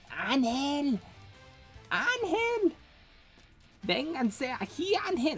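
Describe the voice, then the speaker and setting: In a put-on character voice with very wide pitch swings, the speaker talks at a very slow pace, with long, frequent pauses and clear music in the background. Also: female-sounding voice, high pitch for a woman. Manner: calling out.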